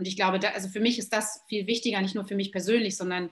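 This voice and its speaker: A woman's medium-pitched, somewhat breathy voice shows ordinary pitch variation. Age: 40s. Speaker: yoga teacher and trainer. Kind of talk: casual chat.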